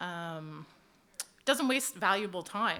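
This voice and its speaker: Loud and bright, a woman's voice comes through with a sharp tone. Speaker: HR manager at equipment dealer. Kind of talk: panel presentation. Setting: conference stage with audience. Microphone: handheld mic held low, close.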